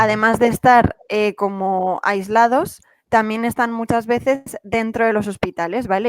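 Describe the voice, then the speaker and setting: A woman in a Madrid accent, fairly high in pitch with fairly even intonation, at a moderate pace, dry and close with no echo, music in the background. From Madrid, Spain. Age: 20s. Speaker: cancer researcher. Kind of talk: talk to students.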